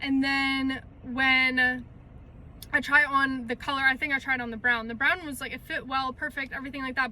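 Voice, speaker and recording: Delivered at a moderate pace, the raised, projected voice stays monotone and flat in intonation but shows big swings in loudness. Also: woman, high pitch for a woman. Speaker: lifestyle vlogger. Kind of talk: casual vlog talk. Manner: chatty, filler-heavy.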